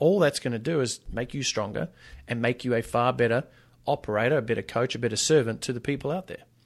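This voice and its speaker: Delivered at a moderate pace in an Australian accent, the speech has lively intonation on a very clean recording with a silent background. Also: man. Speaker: fitness business coach and author. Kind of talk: casual interview chat. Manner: animated.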